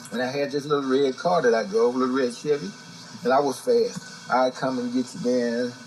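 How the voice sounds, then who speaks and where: Music plays in the background as a man speaks at a moderate pace. His pitch is fairly high and his intonation lively. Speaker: blues musician. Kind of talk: storytelling interview.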